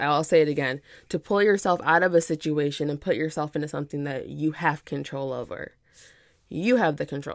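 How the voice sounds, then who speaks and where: A woman with a very deep, low pitch speaks in an animated tone at a fairly quick pace. Her pitch variation is ordinary, and the recording is very clean with a silent background. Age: 30s. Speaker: podcast host and fashion entrepreneur. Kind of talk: casual solo podcast monologue.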